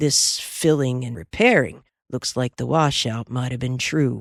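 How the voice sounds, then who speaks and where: A drawling, put-on character voice with a low-to-middle pitch moves at a moderate pace. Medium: read story. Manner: drawling, amiable.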